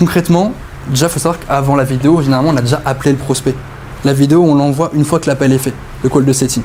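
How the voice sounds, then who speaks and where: Noticeable background noise sits under a man talking at a very fast pace, his pitch fairly high and his intonation fairly even. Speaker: sales closing coach. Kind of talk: group coaching masterclass.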